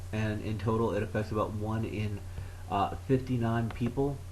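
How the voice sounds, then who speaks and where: There is audible room echo around a man's voice. He speaks at a moderate pace in a medium pitch. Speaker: vlogger. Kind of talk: educational talk. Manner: halting, long pauses; low energy.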